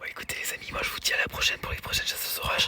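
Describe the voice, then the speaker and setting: A man whispers over noticeable background noise. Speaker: storm chaser. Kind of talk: casual vlog commentary. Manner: soft-spoken.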